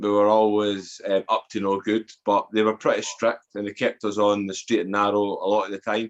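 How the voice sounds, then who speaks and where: A man with an Edinburgh accent, his voice fairly low and his intonation flat and monotone, over a quiet background. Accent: Scottish (Edinburgh). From Scotland, Edinburgh. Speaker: author and former addict telling life story. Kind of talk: podcast interview, personal testimony. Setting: podcast interview.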